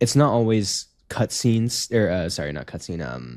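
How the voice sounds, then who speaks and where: A man's fairly low voice with a slight Canadian accent and very wide pitch swings, in a very clean recording with a silent background. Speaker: gaming podcast co-host. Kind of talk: casual chat.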